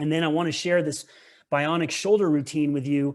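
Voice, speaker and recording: Against a quiet background, a man talks at a fairly high pitch with monotone, flat intonation. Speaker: tennis coach. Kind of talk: presentation. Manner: fast.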